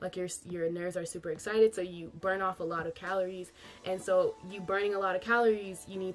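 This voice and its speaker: A woman's animated, medium-pitched voice at a fairly quick pace, with music in the background. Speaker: YouTuber, K-pop fan. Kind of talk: casual vlog tips. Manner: fast.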